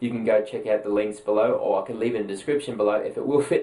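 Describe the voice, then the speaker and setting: Someone talks at a very fast pace with an Australian accent. Noticeable background noise runs behind the voice. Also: man. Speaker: gaming news presenter. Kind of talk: casual news roundup.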